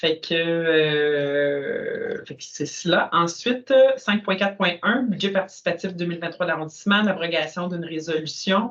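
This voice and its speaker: Someone with a Quebec accent speaks at a fairly slow pace with hardly any pauses. Background noise is noticeable. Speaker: council meeting chair. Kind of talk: municipal meeting discussion.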